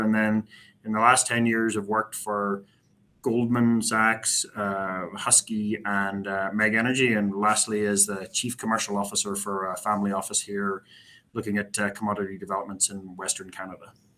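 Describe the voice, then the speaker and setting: A man with a Northern Irish accent speaks at a moderate pace in a flat monotone, his voice fairly low with a bright, sharp tone. The recording is very clean, with a silent background. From Northern Ireland, Belfast. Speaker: company executive. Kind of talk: investor presentation. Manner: halting, many filler words.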